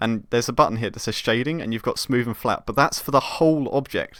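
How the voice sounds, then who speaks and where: A man with a southern English accent talks at a very fast pace and medium pitch. His pitch variation is ordinary, on a very clean recording with a silent background. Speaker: game developer streamer. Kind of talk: live stream tutorial chat. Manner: halting, many fillers.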